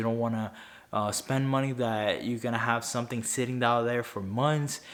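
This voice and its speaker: This man has a Spanish accent and a medium pitch. His intonation is monotone and flat. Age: 20s. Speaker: finance YouTuber. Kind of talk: talking-head video. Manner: halting, frequent self-corrections.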